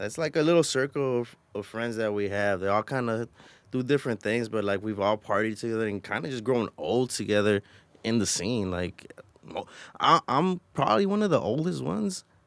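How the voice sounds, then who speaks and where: A man speaks at a medium pitch with lively intonation and a fairly quick pace. It is a normal speaking voice on a very clean recording with a silent background. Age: 30s. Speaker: podcast co-host. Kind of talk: casual chat. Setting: studio.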